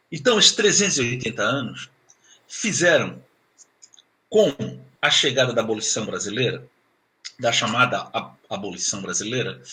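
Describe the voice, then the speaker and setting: Pausing long and often at a moderate pace, a man at a medium pitch speaks in a bright, sharp tone with very wide pitch swings. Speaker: professor. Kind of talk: lecture.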